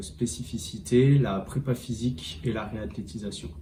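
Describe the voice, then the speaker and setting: A man speaks in a room with audible echo and noticeable background noise. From France, Angoulême. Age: 30s. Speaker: rugby fitness coach. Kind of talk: interview. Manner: halting, many hesitations.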